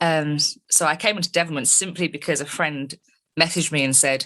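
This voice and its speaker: A woman with a London accent at a fairly quick pace. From England, London. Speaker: metal band keyboardist and vocalist. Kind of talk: interview.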